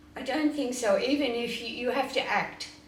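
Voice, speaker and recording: A woman speaks fairly slowly, her pitch varying in an ordinary way. Audible room echo and noticeable background noise surround her voice. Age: 80s+. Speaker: spiritual teacher. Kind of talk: question and answer interview.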